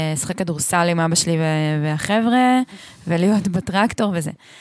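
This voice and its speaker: The speaker talks in a normal speaking voice, moderately paced and with ordinary pitch variation. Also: woman. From central Israel moshav. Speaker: podcast co-host and radio broadcaster. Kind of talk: casual chat. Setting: at her home.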